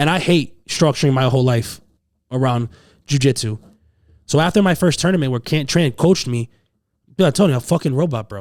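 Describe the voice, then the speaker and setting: On a very clean recording with a silent background, an animated man with an American accent and fairly high pitch talks at a fairly quick pace, using ordinary pitch variation and long, frequent pauses. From Massachusetts, US. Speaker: jiu jitsu instructor. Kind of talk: casual chat. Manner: loud.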